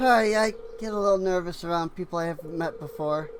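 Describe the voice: The pitch varies an ordinary amount in this plain reading aloud.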